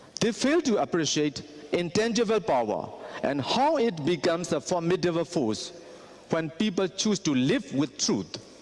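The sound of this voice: A man talks at a fairly slow pace with a fairly high pitch and a slightly mellow tone. His pitch makes big swings.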